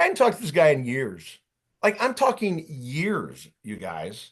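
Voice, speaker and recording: With an American accent and vocal fry, a man speaks in an animated tone at a moderate pace with very wide pitch swings over a quiet background. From Ohio. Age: 50s. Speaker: career coach. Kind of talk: workshop presentation.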